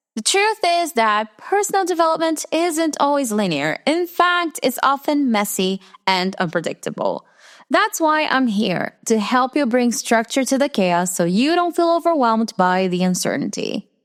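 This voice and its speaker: With an American accent, a woman speaks at a moderate pace in a high pitch, her pitch swinging very widely while her loudness stays very even, in a dry, close sound with no echo. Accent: very Americanized English. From Brazil. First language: Portuguese. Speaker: podcast host, personal development mentor. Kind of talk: scripted podcast monologue.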